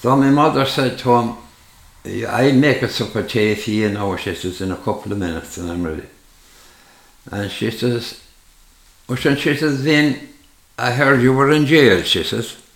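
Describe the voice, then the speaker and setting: Long, frequent pauses break up this man's speech, though his intonation is lively. Room echo is audible. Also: medium pitch for a man, moderate pace. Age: 80s+. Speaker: retired farmer. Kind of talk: casual chat. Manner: halting.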